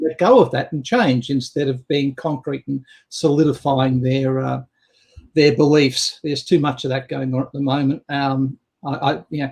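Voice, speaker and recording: In an Australian accent, a man with a fairly high pitch and a somewhat breathy voice speaks at a moderate pace with fairly even intonation. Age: 60s. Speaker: business coach. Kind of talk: casual chat.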